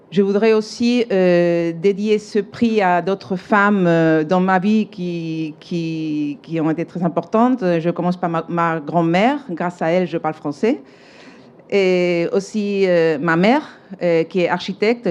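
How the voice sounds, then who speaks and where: A woman's fairly low voice in a Spanish accent, with ordinary pitch variation and a fairly slow pace. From Spain, Seville. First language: Spanish (speaking French). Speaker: architect, award winner. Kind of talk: acceptance speech. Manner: halting, many hesitations.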